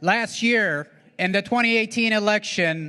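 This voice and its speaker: Against a quiet background, a man with a high pitch uses a raised, projected voice with a bright, sharp tone, ordinary pitch variation and a very slow pace. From Ethiopia. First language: not English. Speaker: state legislator. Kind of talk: public speech. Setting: stage with audience.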